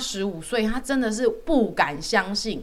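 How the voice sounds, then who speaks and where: Her tone animated, a woman speaks at a moderate pace. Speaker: dietitian podcast host. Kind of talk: casual chat.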